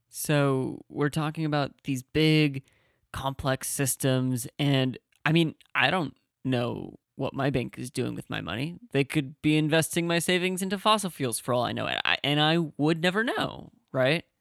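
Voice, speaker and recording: A man's fairly high, plain, everyday voice at a fairly slow pace with ordinary pitch variation, dry and close with no echo in a very clean recording with a silent background. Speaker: podcast host. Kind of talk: interview questions and podcast intro.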